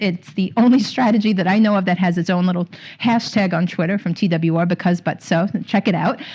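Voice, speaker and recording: A woman with a dark, mellow tone at a medium pitch, slightly breathy. She talks at a fairly quick pace with fairly even intonation and very even loudness. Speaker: literacy trainer. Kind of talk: conference presentation. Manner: fast.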